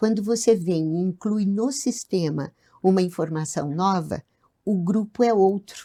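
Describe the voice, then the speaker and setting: The voice has a dark, mellow tone and a fairly slow pace. Its pitch varies in an ordinary way. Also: woman, medium pitch for a woman. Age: 70s. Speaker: couples and family therapist. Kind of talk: podcast interview.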